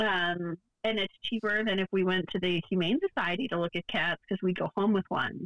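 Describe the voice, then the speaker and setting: A woman with an ordinary speaking voice at medium pitch talks at a fairly quick pace with fairly even intonation. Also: very even loudness. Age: 30s. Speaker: podcast co-host. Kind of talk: casual chat. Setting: remote recording.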